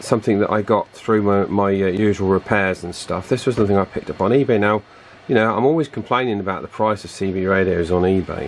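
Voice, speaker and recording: A man rattles along at a very fast pace. His pitch sits fairly low and varies an ordinary amount. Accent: British. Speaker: radio repair video maker. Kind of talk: tutorial. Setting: at home. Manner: hesitant, many fillers.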